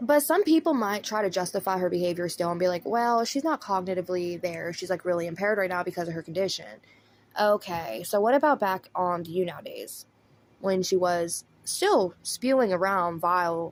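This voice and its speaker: A woman at medium pitch with a Southern US accent, lively intonation and a moderate pace. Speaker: commentary YouTuber. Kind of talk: drama commentary. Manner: casual.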